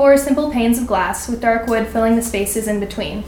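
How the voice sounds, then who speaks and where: Over noticeable background noise and audible room echo, a woman talks at a fairly quick pace in a fairly high voice. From California, Sacramento. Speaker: college student. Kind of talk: reading aloud. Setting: stage with audience at a winery.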